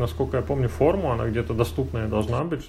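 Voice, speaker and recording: The voice moves at a fairly quick pace with very wide pitch swings, over noticeable background noise. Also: man. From Russia, moved around (military family). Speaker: podcast host, programmer. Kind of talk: casual chat.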